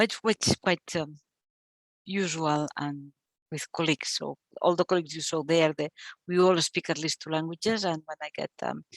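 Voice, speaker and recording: In a non-native accent, a woman with a fairly low pitch speaks at a moderate pace with fairly even intonation, the sound dry and close with no echo against a quiet background. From Catalonia, Spain. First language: Catalan. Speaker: archivist. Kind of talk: Q&A after a talk. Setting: library event with live audience. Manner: halting.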